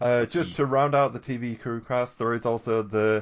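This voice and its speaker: This man has a plain, everyday voice. He talks at a moderate pace and a medium pitch. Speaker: podcast co-host. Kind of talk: casual chat.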